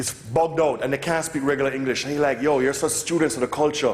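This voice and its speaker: There is noticeable background noise along with audible room echo. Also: man. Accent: Jamaican. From Jamaica (Kingston). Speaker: music producer. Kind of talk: lecture Q&A. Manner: animated.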